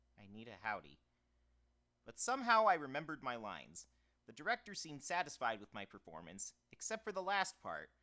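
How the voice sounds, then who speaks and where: A man's fairly high, bright, sharp voice with vocal fry, very wide pitch swings, big swings in loudness and a fairly quick pace. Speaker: audiobook narrator. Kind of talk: audiobook narration demo, humorous essay read aloud. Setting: home studio with soundproofing.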